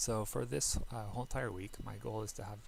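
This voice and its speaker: A man talks in a soft-spoken way. His pace is moderate. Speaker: indie game developer. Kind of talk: casual talk to camera.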